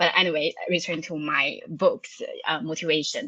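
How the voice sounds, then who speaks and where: The tone is bright and sharp. The background is quiet. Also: woman, dry, close sound with no echo. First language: Chinese. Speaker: cloud architect and author. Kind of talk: podcast interview. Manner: halting, many fillers.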